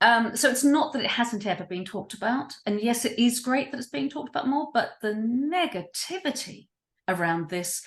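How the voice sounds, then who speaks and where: Against a quiet background, a somewhat breathy woman talks at a moderate pace with very wide pitch swings. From New Zealand. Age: 60s. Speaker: writer and creative activist. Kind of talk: interview. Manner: animated.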